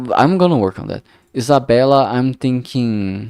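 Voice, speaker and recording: The speaker is a man. The recording is very clean and silent behind him, with a dry, close sound and no echo. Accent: strong Brazilian. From Brazil. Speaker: streamer, indie game developer. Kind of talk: casual live stream commentary. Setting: live stream. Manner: halting, many fillers and restarts.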